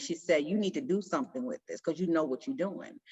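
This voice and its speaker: Her tone is animated. The woman's pitch moves across a very wide range. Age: 60s. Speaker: support circle member. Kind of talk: group sharing, casual.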